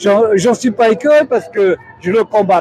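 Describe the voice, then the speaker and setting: A high-pitched man with lively intonation at a fairly slow pace, over noticeable background noise. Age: 70s. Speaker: protester. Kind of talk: street interview.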